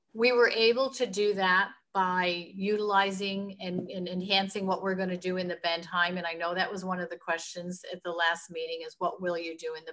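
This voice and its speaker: A woman's medium-pitched voice, bright and sharp in tone, at a moderate pace with fairly even intonation. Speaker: hospital administrator presenting a project. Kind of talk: presentation to a planning commission. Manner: halting, many restarts.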